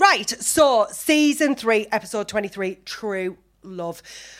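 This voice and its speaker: With a Teesside accent, a woman speaks very slowly at a fairly high pitch, her voice making very wide pitch swings. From Teesside, north-east England. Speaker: podcast host. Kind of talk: casual chat. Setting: stage with audience. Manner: animated.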